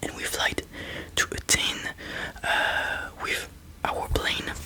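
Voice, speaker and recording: A whisper comes at a very slow pace against noticeable background noise. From France. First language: French. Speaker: ASMR creator. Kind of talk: ASMR storytelling. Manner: whispering; halting.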